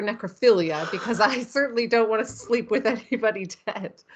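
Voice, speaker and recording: A woman talks in a normal speaking voice with an American accent. Her pitch is fairly high, her intonation fairly even and her pace fairly quick. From United States. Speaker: horror author. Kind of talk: interview.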